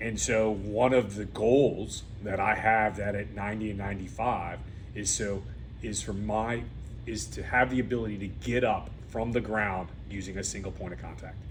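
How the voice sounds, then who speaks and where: Male speech, moderately paced, its pitch varying in an ordinary way, amid audible room echo. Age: 50s. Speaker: podcast host. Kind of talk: interview.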